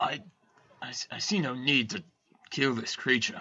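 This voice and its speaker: Putting on a raspy character voice, a man at medium pitch speaks at a fairly slow pace with lively intonation. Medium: actual play. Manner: formal, courteous.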